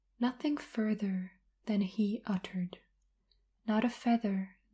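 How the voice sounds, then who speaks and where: Soft-spoken, calm speech at a very slow pace. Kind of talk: ASMR poetry reading.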